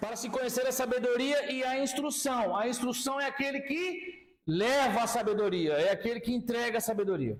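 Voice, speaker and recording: A man speaks in an extremely high pitch with hardly any pauses. Noticeable background noise is present. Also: ordinary pitch variation, moderate pace. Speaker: pastor and Bible teacher. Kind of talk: lecture. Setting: classroom with students.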